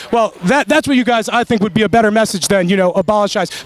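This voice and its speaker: Over noticeable background noise, a man talks at a very fast pace in an animated tone, the sound dry and close with no echo. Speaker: independent journalist interviewing protesters. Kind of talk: street interview, heated exchange. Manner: animated, argumentative.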